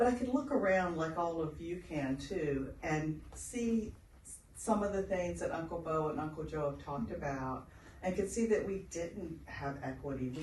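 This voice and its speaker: Noticeable background noise runs under this voice. The pace is fairly slow. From outside Australia. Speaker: health researcher. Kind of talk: seminar interview on stage. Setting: stage with audience. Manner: animated.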